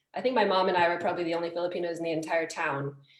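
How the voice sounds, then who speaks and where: The speech comes at a very fast pace in a monotone, flat way, with noticeable background noise and audible room echo. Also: woman. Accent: American. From New Jersey. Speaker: food writer. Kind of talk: interview.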